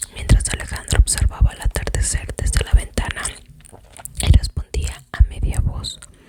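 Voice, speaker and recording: Noticeable background noise fills the clip. Over it, a woman whispers. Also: dry, close sound with no echo. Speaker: ASMR content creator. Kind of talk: whispered book reading. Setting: close to the microphone, chewing gum. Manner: whispered, soft-spoken.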